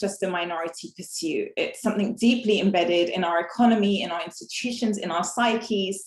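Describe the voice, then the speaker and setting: A woman with an English accent at a fairly quick pace. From England. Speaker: inequality and exclusion researcher. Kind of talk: panel talk. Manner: hesitant, many fillers.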